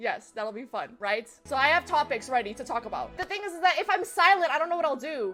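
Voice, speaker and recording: A woman's raised, projected voice with lively intonation at a very fast pace, with music in the background. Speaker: gaming streamer. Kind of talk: casual live-stream chat.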